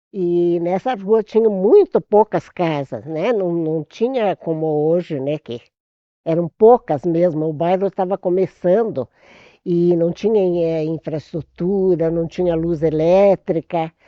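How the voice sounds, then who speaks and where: Speaking very slowly, the woman keeps her pitch fairly low. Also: ordinary pitch variation. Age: 80s+. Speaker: retired teacher, longtime resident. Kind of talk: oral history interview.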